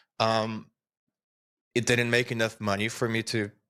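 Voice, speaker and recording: In a very clean recording with a silent background, a man of medium pitch speaks with a Portuguese accent. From Brazil. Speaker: software developer. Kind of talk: interview.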